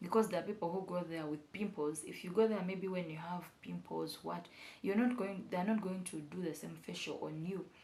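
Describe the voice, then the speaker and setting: With vocal fry and a dark, mellow tone, a woman speaks at a moderate pace and fairly low pitch with fairly even intonation, amid audible room echo. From Uganda. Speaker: beauty vlogger. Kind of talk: casual vlog tutorial. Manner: halting, with fillers and repetitions.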